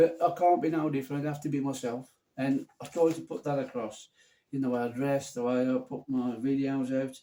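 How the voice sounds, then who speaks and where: Speaking at a moderate pace, a man with a fairly high pitch has a dark, mellow tone and ordinary pitch variation. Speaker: fragrance reviewer. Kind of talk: casual vlog chat. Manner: casual, unpolished one-take delivery; halting, with fillers and restarts.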